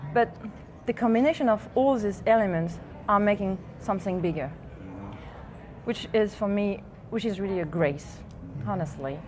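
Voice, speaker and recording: With a French accent and lively intonation, a woman talks at a moderate pace broken by long, frequent pauses. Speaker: artist. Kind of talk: TV interview. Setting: TV set at live event. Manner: halting.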